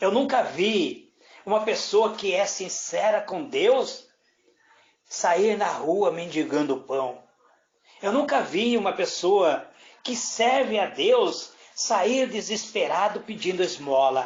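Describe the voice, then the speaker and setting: A man's high-pitched voice, very slow, with very wide swings in pitch. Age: 60s. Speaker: presbyter / preacher. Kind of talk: sermon. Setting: indoors, prayer group room.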